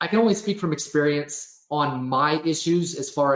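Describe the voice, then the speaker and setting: A man is speaking here. His pitch sits fairly high. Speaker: webinar presenter. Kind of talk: webinar Q and A. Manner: fast.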